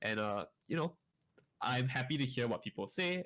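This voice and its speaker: Here a man speaks with lively intonation at a medium pitch. His pace is fairly quick. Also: very clean recording, silent background. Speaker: esports caster. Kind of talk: casual chat. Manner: fast; not well articulated.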